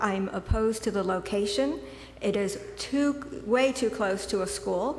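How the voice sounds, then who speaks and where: With an American accent, a woman talks at a medium pitch amid audible room echo and noticeable background noise. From Connecticut. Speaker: local resident. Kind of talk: public comment at zoning hearing. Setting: public meeting room.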